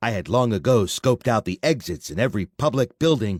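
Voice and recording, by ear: The text is read aloud in a natural voice, its intonation lively throughout.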